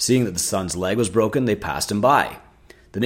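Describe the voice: The speaker does plain reading aloud. Pitch variation is ordinary.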